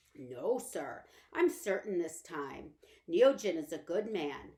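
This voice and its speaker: A woman puts on a raspy character voice at a medium pitch. She speaks at a fairly slow pace with very wide pitch swings. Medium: read story. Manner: respectful, addresses employer as sir.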